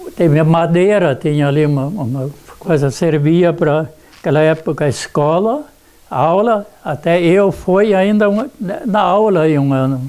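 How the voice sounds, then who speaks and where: A man's high-pitched voice comes at a fairly slow pace, its pitch varying in an ordinary way. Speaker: elderly resident. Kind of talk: oral history interview. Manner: halting, many repetitions.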